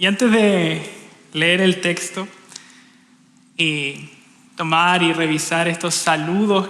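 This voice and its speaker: Speaking very slowly with a Chilean accent, a man with a high-pitched voice and fairly even intonation is heard over noticeable background noise and audible room echo. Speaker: preacher. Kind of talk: sermon. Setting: church.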